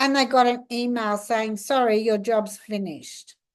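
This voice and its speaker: A woman is talking here. Her accent is Australian. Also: quiet background. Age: 60s. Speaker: law of attraction coach. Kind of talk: casual talk to camera.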